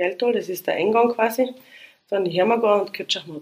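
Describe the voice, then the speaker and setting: Speaking at a moderate pace, a woman uses a fairly high pitch with ordinary variation. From Austria, Styria (Liezen). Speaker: police commander. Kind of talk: casual interview.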